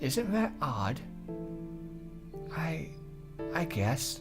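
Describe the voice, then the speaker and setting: A man at a very slow pace with very wide pitch swings, music in the background. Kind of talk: visual novel read-aloud.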